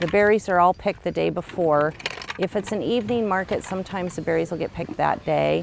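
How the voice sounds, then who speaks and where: Fairly quick in pace, a woman speaks in a dry sound with no echo over light background noise. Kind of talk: interview answer. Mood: calm explanatory. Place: farm machine. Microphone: lapel.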